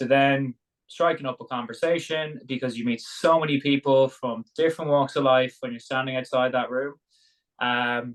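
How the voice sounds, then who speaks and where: With an Irish accent, a man talks at a moderate pace, his medium pitch carried by fairly even intonation. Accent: Irish brogue. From Ireland, Dublin. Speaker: sauna business founder, former rugby player. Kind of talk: interview conversation.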